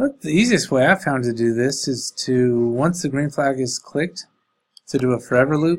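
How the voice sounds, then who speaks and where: At a fairly quick pace, a man talks in a plain, everyday voice, fairly high in pitch with ordinary pitch variation. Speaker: coding teacher for elementary students. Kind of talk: tutorial. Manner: casual, thinking aloud.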